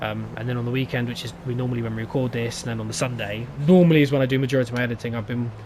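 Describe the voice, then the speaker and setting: A man speaks at a very fast pace. He has an English accent. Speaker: gaming youtuber. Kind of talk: gameplay commentary. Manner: stuttering.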